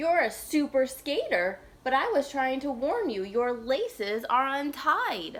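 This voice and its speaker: This is a put-on character voice. It moves along at a fairly slow pace. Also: female-sounding voice, high pitch for a woman. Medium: read story.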